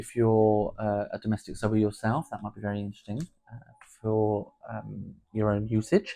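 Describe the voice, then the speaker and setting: At a moderate pace, the speaker has a dark, mellow tone with a southern English accent. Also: man, fairly low pitch for a man, fairly even intonation. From southern England (Portsmouth). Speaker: podcast host, home sewist. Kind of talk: casual podcast chat.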